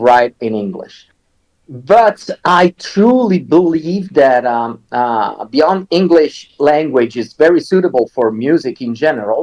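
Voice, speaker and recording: Speaking very slowly with lively intonation, a man with a fairly high pitch talks in an Italian accent. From Italy. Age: 40s. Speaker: metal singer and songwriter. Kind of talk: interview. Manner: hesitant, many fillers.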